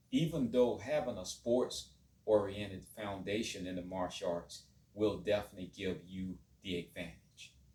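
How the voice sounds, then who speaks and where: Somewhat breathy and dark, mellow in tone, a man with fairly low pitch speaks at a moderate pace, with ordinary pitch variation and big swings in loudness. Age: 50s. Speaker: martial arts teacher. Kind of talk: monologue to camera.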